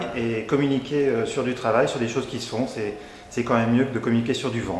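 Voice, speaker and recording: Very fast and medium in pitch, a man speaks amid audible room echo and noticeable background noise. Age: 40s. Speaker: journalist, party committee member. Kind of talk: self-introduction to camera.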